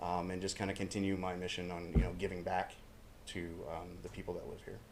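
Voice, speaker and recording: Speaking at a very fast pace, a man has a very deep, low pitch and monotone, flat intonation. Room echo is audible. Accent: American. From northern Maine, US. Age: 40s. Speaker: council applicant. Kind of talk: public comment at council meeting. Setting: city council meeting, podium. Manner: hesitant, many fillers.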